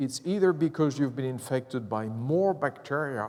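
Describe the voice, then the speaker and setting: This very clean recording with a silent background has a man speaking at medium pitch and a fairly slow pace. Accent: French. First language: French. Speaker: professor. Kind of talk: lecture. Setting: stage with audience. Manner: animated.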